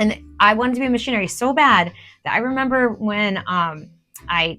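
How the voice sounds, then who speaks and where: Music plays in the background as a woman speaks. Her pace is moderate and her intonation lively. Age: 40s. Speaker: artist. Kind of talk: casual talk to camera.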